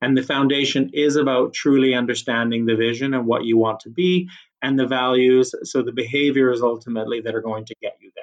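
A man with a Canadian accent and a plain, everyday voice speaks at a fairly quick pace and a medium pitch, with big swings in loudness. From Canada. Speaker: HR executive. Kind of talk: casual interview chat.

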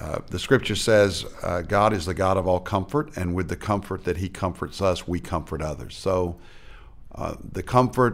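A man speaks with an American accent. His very deep, low voice keeps a moderate pace. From Arkansas, US. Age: 60s. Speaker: pastor. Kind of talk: interview testimony.

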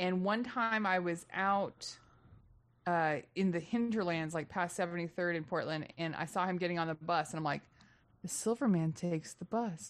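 A woman with an American accent talks at a moderate pace in a fairly low pitch, against a quiet background. She has an ordinary speaking voice. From Texas. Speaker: comedian. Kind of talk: casual chat.

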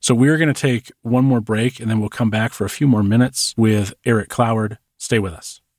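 A man speaks in an ordinary speaking voice at a medium pitch and a fairly quick pace, with fairly even intonation. The recording is very clean, with a silent background and a dry, close sound with no echo. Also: hardly any pauses. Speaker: podcast host. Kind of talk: casual interview chat.

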